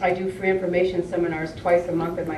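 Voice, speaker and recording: Noticeable background noise and audible room echo surround this woman as she talks. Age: 60s. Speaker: holistic health educator. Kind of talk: acceptance speech.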